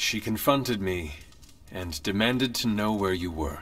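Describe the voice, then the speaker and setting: A man's put-on character voice, fairly low in pitch. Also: moderate pace. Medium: video game. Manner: formal, no contractions.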